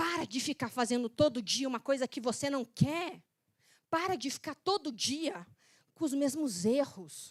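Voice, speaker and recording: A woman with an animated tone at a fairly slow pace, in a dry, close sound with no echo on a very clean recording with a silent background. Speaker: method specialist and speaker. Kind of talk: motivational talk.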